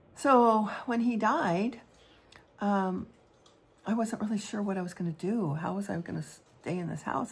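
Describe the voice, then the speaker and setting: Here a woman talks at a moderate pace and medium pitch. Her ordinary pitch variation comes with vocal fry. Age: 70s. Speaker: artist and widow vlogger. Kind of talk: personal vlog monologue. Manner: halting, many fillers.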